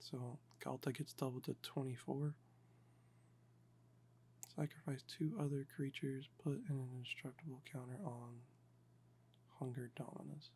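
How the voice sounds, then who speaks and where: A man's medium-pitched, somewhat breathy voice, dark and mellow with a relaxed tone, fairly even intonation, a fairly slow pace, and long, frequent pauses. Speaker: Magic: The Gathering deck builder and ASMR content creator. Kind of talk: casual talk to camera, deck building walkthrough. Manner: monotone, slow, relaxed.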